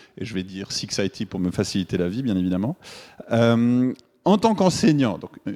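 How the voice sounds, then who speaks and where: In a very clean recording with a silent background, a man with a Swiss French accent speaks at a medium pitch with lively intonation. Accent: Swiss French accent, noticeable. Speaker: game developer and teacher. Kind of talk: conference talk. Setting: stage with audience. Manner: hesitant, many filler words.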